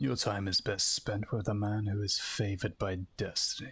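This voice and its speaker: At a moderate pace and with very even loudness, a man performs a put-on character voice at a fairly low pitch with fairly even intonation. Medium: role play.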